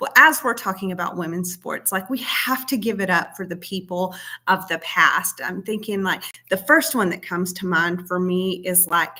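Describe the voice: A woman speaks at a moderate pace with fairly low pitch. Her tone is bright and sharp. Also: ordinary pitch variation.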